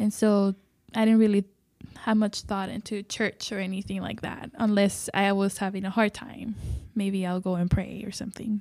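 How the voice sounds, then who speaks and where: With a Spanish accent, a woman speaks at a moderate pace in a medium pitch with monotone, flat intonation. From Mexico, border city near Laredo. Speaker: ministry worker. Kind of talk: interview.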